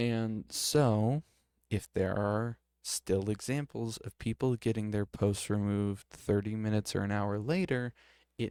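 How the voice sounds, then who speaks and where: A man speaks quietly at a fairly slow pace, his pitch fairly low and his tone dark and mellow. His intonation stays fairly even, and the sound is dry and close with no echo. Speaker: streamer. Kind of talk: casual commentary while reading a screen. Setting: at home with others in the house. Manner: quiet, keeping voice down; hesitant, many fillers.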